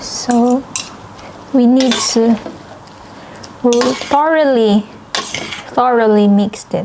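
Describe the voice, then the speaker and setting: There is noticeable background noise as a woman with a fairly high pitch speaks at a very slow pace. Her intonation is fairly even, with long, frequent pauses. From Philippines. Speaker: Filipina living in Norway. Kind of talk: casual talk to camera, cooking vlog. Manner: casual, conversational.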